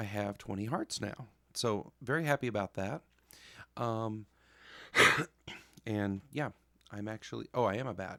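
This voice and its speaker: Quiet speech at a fairly slow pace, with long, frequent pauses, ordinary pitch variation, and a dry, close sound with no echo. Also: man, fairly low pitch for a man. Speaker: gaming youtuber. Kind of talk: gameplay commentary. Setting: home basement at night. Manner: quiet, holding voice down.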